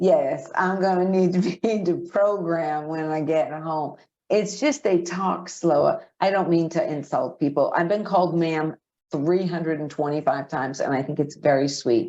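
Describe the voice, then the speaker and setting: Speaking with a Boston accent, a woman with a fairly low, dark, mellow voice keeps a moderate pace and ordinary pitch variation. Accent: thick Boston. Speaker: podcast co-host. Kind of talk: casual chat.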